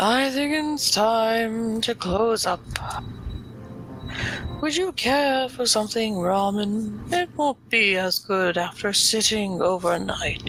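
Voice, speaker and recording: Someone does a put-on character voice at a fairly high pitch and a fairly slow pace, with clear background noise. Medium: game stream. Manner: polite, calm.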